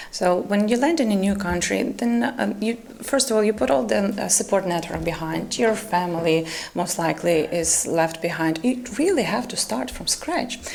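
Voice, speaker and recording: With very wide pitch swings around a medium pitch, a woman in a Ukrainian accent speaks at a moderate pace over noticeable background noise. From Ukraine. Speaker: volunteer coordinator. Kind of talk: talk show panel discussion.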